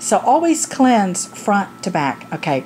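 A woman's fairly slow speech comes through with light noise in the background. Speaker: product reviewer. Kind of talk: casual product review vlog. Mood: candid, humorous. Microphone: phone near.

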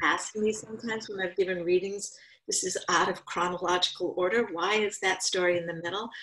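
A woman with an American accent talks at a fairly quick pace in a monotone, flat intonation. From rural eastern Connecticut. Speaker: author and writing teacher; writing teacher. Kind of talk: interview. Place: home room. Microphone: video call.

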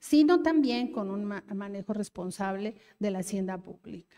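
A woman talks at a fairly slow pace. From Mexico City (Iztapalapa); Mexico City. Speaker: government official; speaker. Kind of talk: public speech at a forum. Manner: halting with fillers. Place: hall. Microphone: handheld.

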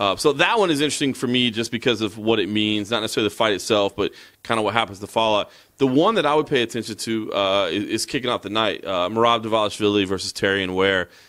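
Very fast speech in an American accent, with ordinary pitch variation and a quiet background. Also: man, medium pitch for a man. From United States. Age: 40s. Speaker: MMA journalist. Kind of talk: casual chat. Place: home room. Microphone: handheld.

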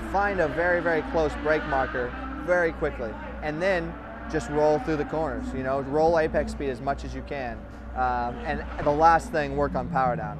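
A man's voice comes through dry with no echo, while music plays clearly in the background. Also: moderate pace. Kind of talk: interview answer. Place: garage. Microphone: lapel.

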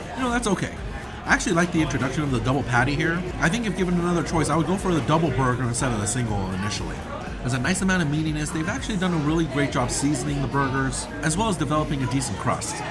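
Clear music sits behind the recording. Over it, a man rattles along at a very fast pace. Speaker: food reviewer. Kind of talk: food review commentary. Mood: upbeat, enthusiastic. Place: hall. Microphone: phone near.

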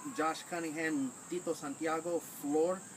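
A man's pitch moves in an ordinary way while noticeable background noise sits underneath. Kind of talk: casual list of call-outs. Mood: light, joking. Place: garden. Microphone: camera far.

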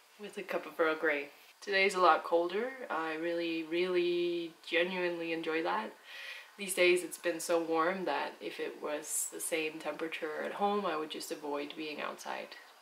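A woman talks at a moderate pace. Her pitch is fairly low, with fairly even intonation. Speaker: travel vlogger. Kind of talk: casual vlog chat. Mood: relaxed, calm. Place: home room.

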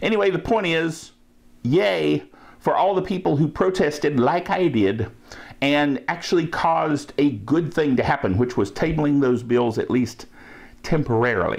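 This man's fairly high voice carries vocal fry and lively intonation, moving at a moderate pace with very even loudness. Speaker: tech podcast host. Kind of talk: casual solo netcast. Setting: home recording. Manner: animated, jokey. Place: home room.

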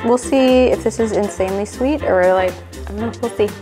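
Clear music sits in the background while a woman talks. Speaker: food reviewer. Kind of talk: casual vlog chat. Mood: curious, mildly unimpressed. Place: kitchen. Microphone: lapel.

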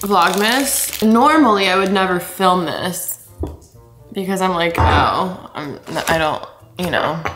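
Clear music plays behind a woman who talks at a very slow pace with ordinary pitch variation. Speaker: vlogger. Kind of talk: casual vlog chat. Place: kitchen. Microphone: camera far.

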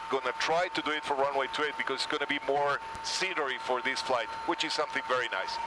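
A man speaks at a very fast pace, the sound dry with no echo despite loud background noise. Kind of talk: commentary. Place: plane. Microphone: headset.

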